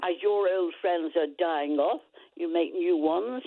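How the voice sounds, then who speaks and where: A woman speaks in a Lancashire accent at a moderate pace. Her pitch is fairly low and varies in an ordinary way. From Lancashire, northern England. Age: 90s. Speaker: caller. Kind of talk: casual chat. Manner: animated.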